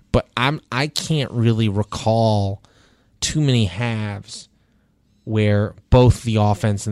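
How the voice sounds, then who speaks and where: On a very clean recording with a silent background, a man speaks at a fairly slow pace in a normal speaking voice with a fairly low pitch. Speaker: sports columnist and podcast host. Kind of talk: casual sports talk podcast. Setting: podcast studio. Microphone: real studio microphone.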